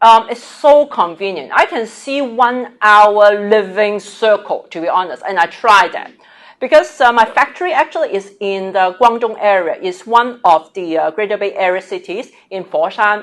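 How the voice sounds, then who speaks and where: A woman with a Cantonese accent talks at medium pitch and a moderate pace, with lively intonation, big swings in loudness and hardly any pauses. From Hong Kong. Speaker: business executive. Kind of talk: interview dialogue.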